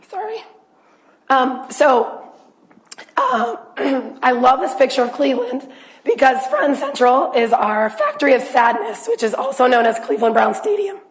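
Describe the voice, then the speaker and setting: A woman speaks with a high pitch and long, frequent pauses. Audible room echo and noticeable background noise fill the recording. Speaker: physician. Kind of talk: lecture.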